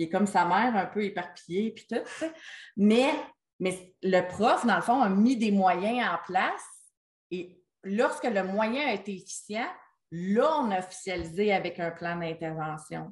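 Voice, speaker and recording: A woman at medium pitch, speaking very slowly, with big swings in loudness. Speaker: special education consultant. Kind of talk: online meeting discussion. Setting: video call.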